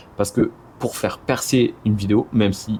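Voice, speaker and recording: A man is speaking. His pitch is fairly low. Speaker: video creator, motion design business owner. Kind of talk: casual vlog talk to camera. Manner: hesitant, many fillers and repetitions.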